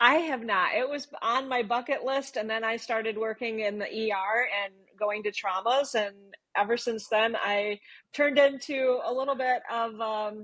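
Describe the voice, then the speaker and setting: A woman with an American accent, fairly high pitch and fairly even intonation, a plain, everyday voice at a moderate pace. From Michigan, US. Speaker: nurse. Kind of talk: casual interview chat.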